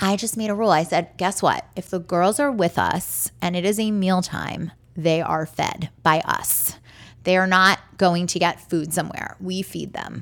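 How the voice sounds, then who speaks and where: With an American accent and fairly even intonation, a woman speaks at a medium pitch in a normal speaking voice. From Baltimore, US. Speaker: documentary director and Broadway producer. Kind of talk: interview.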